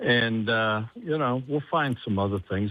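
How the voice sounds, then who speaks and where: At a moderate pace, a man talks with a Midwestern US accent. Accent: US Midwest. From Columbus, Ohio. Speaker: sports anchor. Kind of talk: casual interview.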